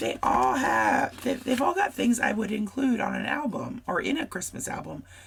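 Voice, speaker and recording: Noticeable noise can be heard in the background. Over it, a woman talks. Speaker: scrapbooking crafter. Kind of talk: casual craft tutorial talk to camera.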